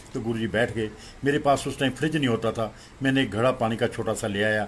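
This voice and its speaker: A man with a medium pitch and ordinary pitch variation talks at a moderate pace. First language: Punjabi (speaking Hindi). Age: 60s. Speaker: devotee sharing experience. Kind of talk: testimony.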